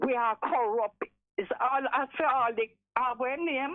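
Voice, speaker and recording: A woman's high-pitched voice at a fairly slow pace. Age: 70s. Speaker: caller. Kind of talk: call-in discussion. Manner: animated.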